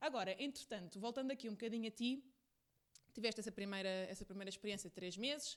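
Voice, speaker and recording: A woman with a European Portuguese accent, bright and sharp in tone, with ordinary pitch variation. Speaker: podcast host. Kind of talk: podcast interview.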